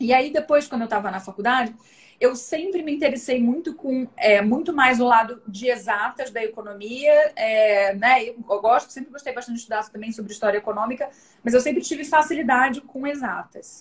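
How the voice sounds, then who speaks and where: Her voice sits at a high pitch with ordinary pitch variation, as this woman speaks with big swings in loudness. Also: moderate pace. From Brazil, Rio de Janeiro. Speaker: data analytics director, economist. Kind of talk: live stream interview. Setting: online live stream. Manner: casual, many fillers.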